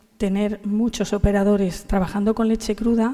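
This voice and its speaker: Flat and monotone, a woman talks at a medium pitch and a moderate pace. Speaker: agricultural federation director. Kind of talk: panel talk. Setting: conference panel. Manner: hesitant, many fillers.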